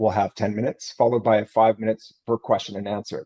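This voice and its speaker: A man speaks with a Canadian accent at a fairly quick pace. His medium-pitched voice has a dark, mellow tone. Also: dry, close sound with no echo. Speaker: event host, research director. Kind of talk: event welcome and introductions. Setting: virtual event, video call. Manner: fast.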